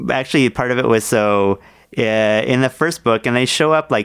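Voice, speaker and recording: An ordinary speaking voice keeps a medium tempo, its pitch shifting in a normal way. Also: man. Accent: American. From New Jersey, then Oakville near Toronto. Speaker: comics creator and book publicist. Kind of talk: casual interview.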